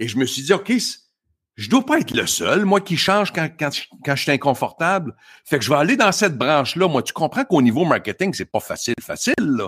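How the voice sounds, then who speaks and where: In a Quebec accent, a man with a fairly high pitch talks at a fairly quick pace with very wide pitch swings, recorded very cleanly against a silent background with a dry, close sound and no echo. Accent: Québécois French. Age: 50s. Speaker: motivational speaker. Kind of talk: casual interview.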